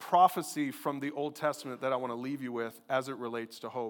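The recording is very clean with a silent background. A man talks at a fairly quick pace. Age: 50s. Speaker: pastor. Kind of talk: sermon. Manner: animated.

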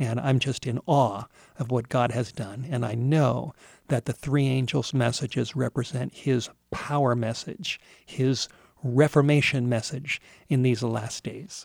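A man at a medium pitch, somewhat breathy, at a fairly slow pace with fairly even intonation, on a very clean recording with a silent background and a dry, close sound with no echo. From Southern California. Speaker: pastor. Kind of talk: sermon.

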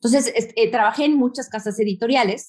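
A woman talks with a Mexican accent. Her pace is fairly quick. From Mexico. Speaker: magazine founder and editor. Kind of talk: interview.

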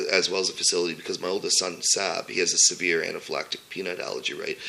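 A man with a Canadian accent is heard over noticeable background noise. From Sudbury, Ontario, Canada. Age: 40s. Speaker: food entrepreneur. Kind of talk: interview. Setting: home kitchen. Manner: halting.

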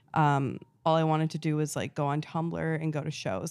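A woman's very deep, low voice in a monotone, flat intonation, on a very clean recording with a silent background. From New England, Rhode Island. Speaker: fashion trend forecaster and social media creator. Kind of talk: casual interview chat. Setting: in the host's apartment.

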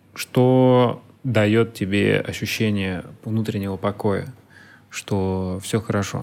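A man speaks at a very slow pace with long, frequent pauses. His pitch sits fairly low and his intonation stays fairly even. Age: 30s. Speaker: podcast host. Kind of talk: interview.

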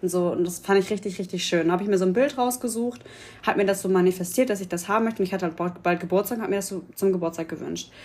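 This woman's medium-pitched voice shows ordinary pitch variation as she talks at a very fast pace. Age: 20s. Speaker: podcast guest. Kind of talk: casual chat. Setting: festival in Berlin.

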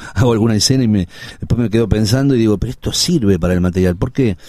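Dark and mellow in tone, a man with a Rioplatense accent speaks with ordinary pitch variation. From Buenos Aires, Argentina (Villa Crespo). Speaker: actor and filmmaker. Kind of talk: interview conversation.

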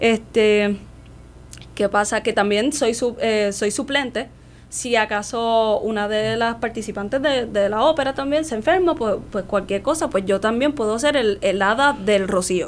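A woman's fairly high voice, with ordinary pitch variation, unfolds at a fairly slow pace. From Puerto Rico, Santurce (San Juan). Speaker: opera singer and voice teacher. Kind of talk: radio interview.

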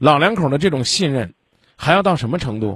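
A man talks in a fairly high pitch with very wide pitch swings. His voice is somewhat breathy. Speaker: radio call-in advice host. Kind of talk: call-in advice, blunt questioning. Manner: blunt, interrupting.

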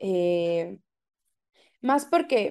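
A dark, mellow tone carries the speech. Little can be heard behind it, as the background is quiet. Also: woman. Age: 20s. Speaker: art director. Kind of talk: interview. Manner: talkative.

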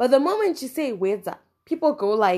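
A woman speaks loudly at a moderate pace with a Zimbabwean accent. Her pitch is high and her tone animated. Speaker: podcast host. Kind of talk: solo podcast monologue. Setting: outdoors, wind audible.

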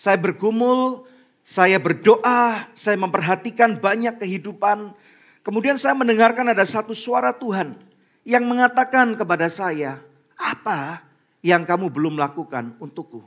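At a fairly slow pace, a high-pitched man speaks with lively intonation. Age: 40s. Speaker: pastor. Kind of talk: sermon. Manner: animated.

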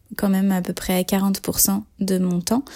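Her voice is somewhat breathy, with a medium pitch for a woman and a dark, mellow tone. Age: 30s. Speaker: author-illustrator. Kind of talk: testimony. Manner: hesitant, many fillers.

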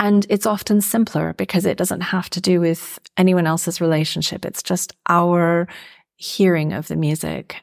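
In a very clean recording with a silent background, a woman with an ordinary speaking voice and an American accent talks at a moderate pace, her pitch fairly low and her intonation fairly even. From US Midwest, Minnesota. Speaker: oboist and psychotherapist. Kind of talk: interview conversation.

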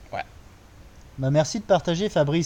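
Somewhat breathy male voice with a dark, mellow tone and ordinary pitch variation. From France. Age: 30s. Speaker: podcast co-host. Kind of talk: casual conversation. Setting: recording in Bali.

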